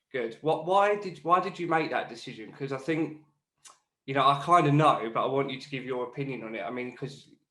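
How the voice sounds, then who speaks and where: A man's fairly high voice, bright and sharp, at a fairly quick pace, with ordinary pitch variation, big swings in loudness, and audible room echo. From northern England, Newcastle. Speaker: podcast host. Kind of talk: podcast interview.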